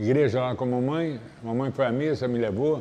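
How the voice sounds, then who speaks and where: Audible room echo surrounds a man speaking fairly slowly. His pitch is medium, with ordinary variation. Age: 60s. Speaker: capoeira master. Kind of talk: interview.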